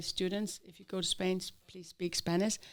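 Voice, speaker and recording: Here a woman speaks with an Icelandic accent at a moderate pace, her intonation monotone and flat. The recording is very clean, with a silent background. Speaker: Spanish teacher. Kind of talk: interview. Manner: hesitant, with fillers.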